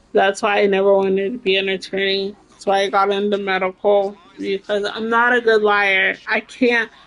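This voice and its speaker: A woman speaks at a moderate pace with a medium pitch. Noticeable background noise runs underneath. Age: 30s. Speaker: video game livestreamer. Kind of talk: casual livestream chat. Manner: animated.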